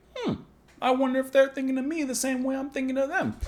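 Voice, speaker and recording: A man races along at a very fast pace in a put-on character voice pitched extremely high. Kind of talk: put-on, mock wiseguy. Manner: tough-guy, gruff.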